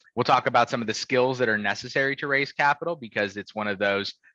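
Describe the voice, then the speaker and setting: Over a quiet background, a man speaks very fast in a bright, sharp tone, with a dry, close sound and no echo. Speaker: startup finance advisor. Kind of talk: presentation.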